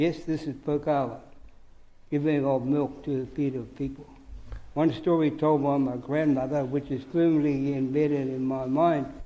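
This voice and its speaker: A man with a fairly high pitch and a dark, mellow tone speaks in a monotone, flat intonation at a moderate pace. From New Zealand, Hawke's Bay (Māori community). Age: 80s+. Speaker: Māori elder giving evidence. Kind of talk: testimony at public hearing.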